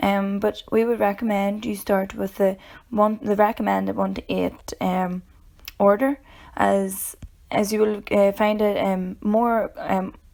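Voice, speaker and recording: A woman with a Northern Irish accent speaks at a fairly slow pace. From Northern Ireland. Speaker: educator. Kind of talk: tutorial. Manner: halting, many filler ums.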